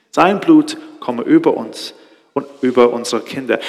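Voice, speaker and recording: A man talks rather slowly while clearly audible background noise carries on. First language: Hebrew (speaking German). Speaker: preacher. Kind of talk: sermon. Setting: stage with audience. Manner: halting.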